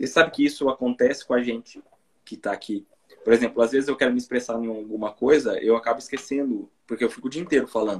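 The man's intonation stays fairly even at a medium pitch. He talks very fast. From interior of São Paulo state, Brazil. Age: 30s. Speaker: YouTuber, Brazilian immigrant in Japan. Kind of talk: casual live-stream interview.

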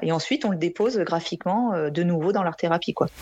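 Moving at a fairly quick pace, a woman talks in an ordinary speaking voice with ordinary pitch variation. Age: 40s. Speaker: art therapist. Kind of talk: interview.

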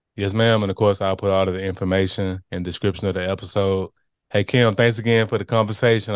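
Against a quiet background, a man speaks at a very fast pace in a fairly low pitch with monotone, flat intonation. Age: 30s. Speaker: podcast host. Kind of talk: casual interview.

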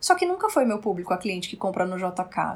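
A woman talks at a moderate pace. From Brazil, Roraima. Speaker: style consultant. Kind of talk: casual interview chat. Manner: animated.

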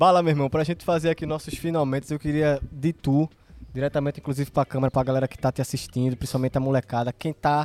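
Monotone, flat delivery from a man at a fairly high pitch, in a dry, close sound with no echo. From Pernambuco, Brazil. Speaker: podcast host. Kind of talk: casual chat. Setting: outdoors in a garden.

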